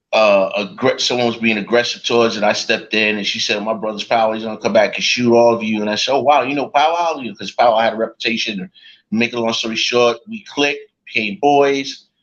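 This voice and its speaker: In a New York accent, a man talks at a fairly quick pace with a medium pitch and ordinary pitch variation. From New York, the Bronx. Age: 60s. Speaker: rapper. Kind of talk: interview.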